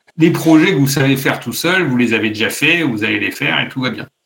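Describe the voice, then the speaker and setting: Here a man speaks at a moderate pace with a fairly high pitch. His intonation is lively. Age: 40s. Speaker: automotive industry executive. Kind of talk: interview. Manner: hesitant, many fillers and repetitions.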